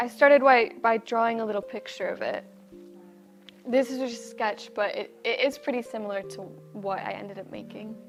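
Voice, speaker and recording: A woman's fairly high voice with an American accent, ordinary pitch variation and big swings in loudness, with music in the background. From United States. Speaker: amateur potter, music student. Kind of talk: interview answer. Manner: casual.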